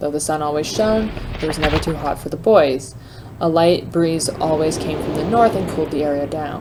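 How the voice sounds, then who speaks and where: Noticeable background noise sits behind the speech. The pace is moderate, with ordinary pitch variation. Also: woman, very deep, low pitch for a woman. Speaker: let's play gamer. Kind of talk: reading in-game journal aloud.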